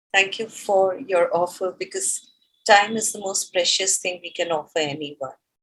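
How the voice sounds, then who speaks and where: A woman talks at a fairly slow pace in a medium pitch with ordinary pitch variation. Her tone is bright and sharp. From India. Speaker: talk show host. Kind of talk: interview.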